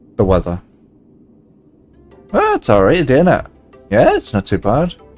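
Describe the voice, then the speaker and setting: Music plays in the background. A man is speaking. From northeast England (Geordie). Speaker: gaming streamer. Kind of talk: casual livestream chat while gaming. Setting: livestream with voice chat. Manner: casual, filler-heavy (um, like).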